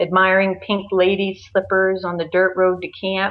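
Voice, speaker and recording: This woman talks at a fairly slow pace in a medium pitch for a woman. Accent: Maine. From Maine. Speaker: podcast guest.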